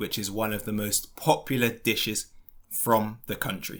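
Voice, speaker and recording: A man with a British accent talks at a fairly slow pace. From London, England. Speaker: English teacher. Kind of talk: educational podcast for learners. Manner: clear, slow.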